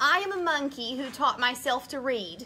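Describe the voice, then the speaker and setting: A put-on character voice at a moderate pace. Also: woman. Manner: silly.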